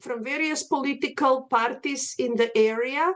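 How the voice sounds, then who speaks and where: With a Slavic accent, a woman speaks at a high pitch with ordinary pitch variation. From Macedonia. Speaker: art history professor. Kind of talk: lecture. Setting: video call.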